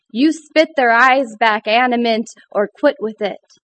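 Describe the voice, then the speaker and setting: With an American accent, the speaker goes at a very slow pace with ordinary pitch variation. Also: woman. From Michigan. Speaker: poet. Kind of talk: poetry reading. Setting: stage with audience.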